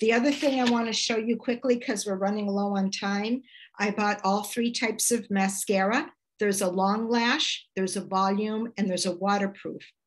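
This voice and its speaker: At a moderate pace, a woman uses an ordinary speaking voice with a medium pitch, fairly even intonation and very even loudness. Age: 60s. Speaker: product presenter. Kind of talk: product demonstration.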